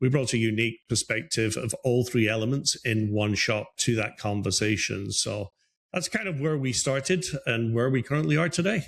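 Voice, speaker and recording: Speaking with an Irish accent, a man uses lively intonation. His voice is somewhat breathy, at a moderate pace. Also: medium pitch for a man. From Ireland, Dublin. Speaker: business advisor. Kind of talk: interview conversation. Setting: group call. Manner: hesitant with fillers.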